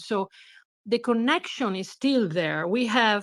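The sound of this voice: A woman speaks slowly at a medium pitch, her fairly bright tone carried by lively intonation.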